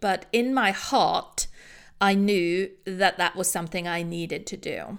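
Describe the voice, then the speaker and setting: A woman's medium-pitched voice in a British accent, on a very clean recording with a silent background. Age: 40s. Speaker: social media strategist. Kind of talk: interview conversation.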